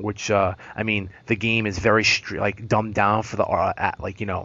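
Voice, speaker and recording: A man speaks with a fairly low pitch and monotone, flat intonation. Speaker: podcast host. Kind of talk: casual chat. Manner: fast; slurred.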